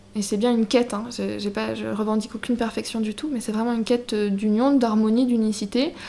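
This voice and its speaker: A woman with a fairly high pitch speaks at a fairly quick pace with hardly any pauses. Her intonation is monotone and flat, and there is noticeable background noise. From Brittany, France. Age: 20s. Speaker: shop owner. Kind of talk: interview.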